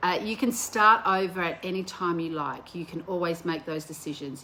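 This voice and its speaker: At a moderate pace, a woman talks in an unremarkable speaking voice of medium pitch with ordinary pitch variation. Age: 60s. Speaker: vlogger and women's motivational speaker. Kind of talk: motivational talk to camera. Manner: casual, conversational with fillers.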